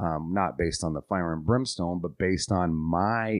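A man's very deep, low voice with ordinary pitch variation, dry and close with no echo over a quiet background. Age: 30s. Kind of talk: solo podcast monologue.

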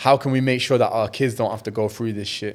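A man in a Mancunian accent, medium pitch and moderate pace, in a very clean recording with a silent background. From Manchester, England. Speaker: content creator. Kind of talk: casual chat.

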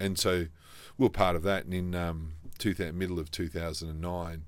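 A man in an Australian accent, very deep and low in pitch, monotone and flat, at a moderate pace. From South Australia. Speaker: franchise business executive. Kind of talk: interview. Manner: hesitant with many fillers.

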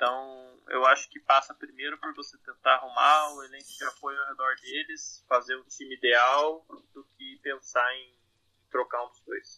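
Recorded with a dry, close sound and no echo, a man talks at a moderate pace with big swings in loudness. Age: 30s. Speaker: basketball blogger. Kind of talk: casual chat.

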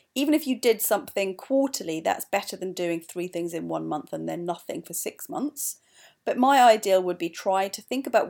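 A woman's voice shifts widely in both pitch and loudness on a very clean recording with a silent background. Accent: Welsh. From Wales, mining valley. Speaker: podcast host, company co-founder. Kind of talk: solo podcast advice talk.

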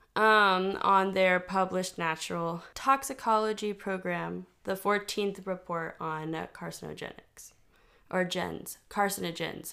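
In an American accent, a woman speaks at a fairly slow pace with a medium pitch and fairly even intonation. Her tone is bright and sharp, and the recording is very clean with a silent background. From Texas. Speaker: podcast co-host. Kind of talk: casual chat; reading aloud research notes.

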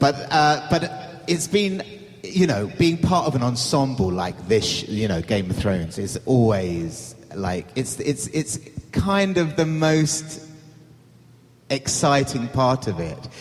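Over noticeable background noise, a man speaks at a very slow pace in a fairly high pitch, with very wide pitch swings. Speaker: actor. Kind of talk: panel discussion. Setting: stage with audience.

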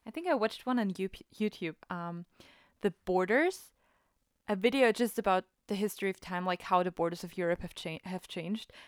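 In a German accent, the speaker moves at a fairly quick pace, captured as a dry, close sound with no echo. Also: woman, medium pitch for a woman, ordinary pitch variation. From Austria. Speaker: podcast co-host. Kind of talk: casual chat.

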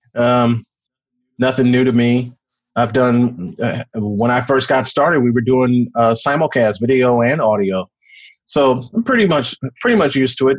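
A man talks in a normal speaking voice at a medium pitch and a moderate pace. His pitch varies in an ordinary way, and his loudness stays very even. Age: 40s. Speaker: sports announcer and podcast host. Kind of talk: interview.

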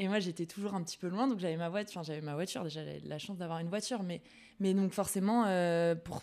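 Over a silent background in a very clean recording, a woman speaks very fast in a dark, mellow tone at fairly low pitch with ordinary pitch variation. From Bordeaux area, France. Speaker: student guest. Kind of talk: casual chat, interview.

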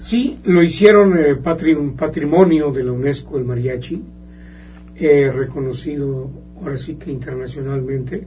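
A man talks at a fairly slow pace with fairly high pitch, ordinary pitch variation and big swings in loudness. Noticeable background noise and audible room echo are present. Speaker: mariachi musician. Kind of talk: radio interview. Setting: radio studio.

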